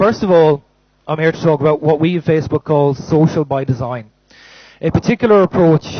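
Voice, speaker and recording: The speaker has an Irish accent and talks at a very fast pace. The intonation stays fairly even. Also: man. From Ireland. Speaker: company manager, conference speaker. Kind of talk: conference talk. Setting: stage with audience. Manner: loud.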